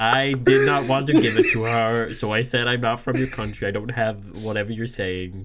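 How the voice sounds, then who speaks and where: Through noticeable background noise, a man with an American accent talks at a moderate pace and medium pitch, his intonation fairly even and hardly any pauses between words. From Australia. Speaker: podcast co-host. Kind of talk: casual chat.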